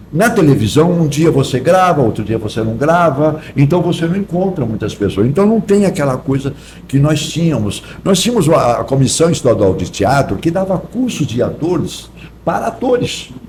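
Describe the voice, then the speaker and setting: A man's pitch swings very widely. Noticeable background noise runs behind him. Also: fairly high pitch for a man, moderate pace. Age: 70s. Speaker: actor. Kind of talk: podcast interview.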